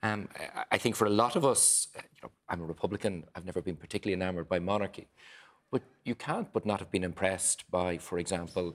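A man with an Irish accent at a very fast pace, very deep, low pitch and fairly even intonation. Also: very clean recording, silent background. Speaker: politician. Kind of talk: panel discussion. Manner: halting.

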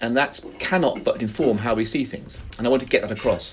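Over music in the background, a man with a London accent speaks at a medium pitch. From West London. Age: 50s. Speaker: professor and author. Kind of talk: interview.

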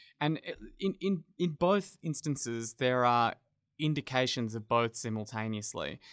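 At a moderate pace, a man with an Australian accent speaks in a medium pitch with lively intonation, his voice dry and close with no echo against a quiet background. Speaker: journalist. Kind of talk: casual chat. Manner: halting, frequent repetitions.

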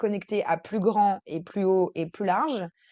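A woman at a very slow pace. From France, Versailles. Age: 30s. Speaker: integrative coach. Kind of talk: interview. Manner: hesitant, many fillers.

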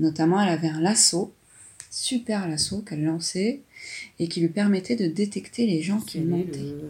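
A woman speaks at medium pitch and a moderate pace, with ordinary pitch variation. Her voice is somewhat breathy, with a dark, mellow tone. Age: 40s. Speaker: mother describing an artwork with her daughter. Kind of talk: casual commentary describing a drawing. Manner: hesitant, with fillers.

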